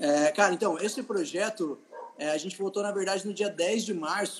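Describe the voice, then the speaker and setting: A man's high-pitched voice with lively intonation. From Vale do Paraíba, São Paulo state, Brazil. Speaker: state legislator. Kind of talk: casual interview.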